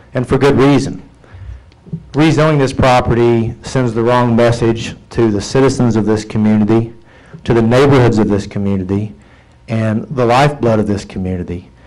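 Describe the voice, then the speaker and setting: A man speaks at a medium pitch with fairly even intonation, and audible room echo surrounds his voice. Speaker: attorney speaking at city council. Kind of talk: public comment at council meeting. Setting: city council chamber. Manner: fast.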